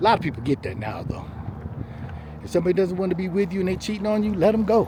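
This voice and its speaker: A man speaks very fast at a high pitch with ordinary pitch variation. Noticeable background noise can be heard. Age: 60s. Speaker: vlogger. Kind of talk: casual monologue. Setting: self-recorded on camera. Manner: heavy breathing; casual, conversational.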